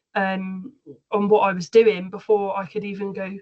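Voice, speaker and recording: A woman speaks in a Somerset accent at a medium pitch. Her voice is somewhat breathy. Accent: West Country (Somerset). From Somerset, England. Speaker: aesthetics trainer and practitioner. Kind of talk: panel discussion.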